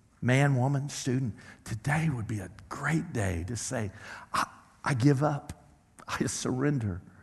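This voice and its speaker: This man speaks at a medium pitch with an American accent. His voice is somewhat breathy and his intonation lively. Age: 60s. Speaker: pastor. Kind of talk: sermon. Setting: church stage with audience, miked. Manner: halting with repetitions.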